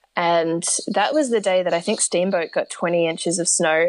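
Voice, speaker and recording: A woman with an Australian accent, fairly low in pitch, at a moderate pace. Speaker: long-distance horseback rider and mental health advocate. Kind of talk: interview. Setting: remote call. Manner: animated.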